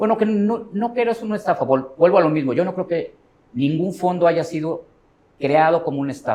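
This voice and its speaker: A man speaks at a fairly high pitch, his voice moving through very wide pitch swings. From Mexico. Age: 40s. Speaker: professional trader. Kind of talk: interview.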